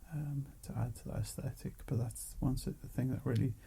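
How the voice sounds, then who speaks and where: Soft-spoken and calm in tone, a man talks at a fairly slow pace. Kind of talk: ASMR soft-spoken ramble. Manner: soft-spoken, calm.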